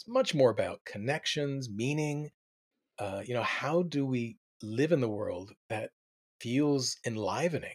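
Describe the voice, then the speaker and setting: Here a man with an American accent uses a plain, everyday voice at a fairly high pitch. He moves at a fairly slow pace with ordinary pitch variation. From US Mid-Atlantic (Delaware suburbs). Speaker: community organization director. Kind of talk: interview.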